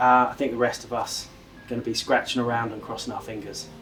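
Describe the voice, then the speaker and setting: A man at a medium pitch with a southern English accent, fairly quick pace, and music in the background. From southeast England, near London. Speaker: angler. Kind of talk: interview.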